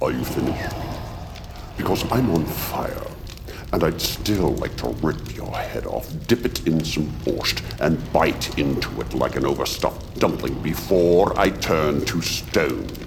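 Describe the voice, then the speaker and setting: Over loud background noise, a man does a put-on character voice, very deep and low, at a fairly slow pace. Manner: pompous, theatrical, menacing.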